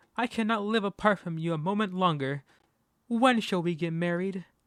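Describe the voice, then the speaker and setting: On a very clean recording with a silent background, a man does a breathy, high-pitched put-on character voice at a moderate pace with ordinary pitch variation. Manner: romantic, pleading.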